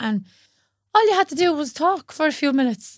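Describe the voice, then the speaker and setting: A woman with a strong Dublin accent speaks at a moderate pace with lively intonation. The recording is very clean and dry, close-sounding with no echo and a silent background. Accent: strong northern Dublin Irish. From north Dublin, Ireland. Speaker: yoga teacher.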